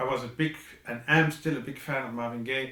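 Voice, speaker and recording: A man at medium pitch with a non-native accent, fairly even intonation and a moderate pace, amid noticeable background noise and audible room echo. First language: not English. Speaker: composer. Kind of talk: video message. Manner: halting.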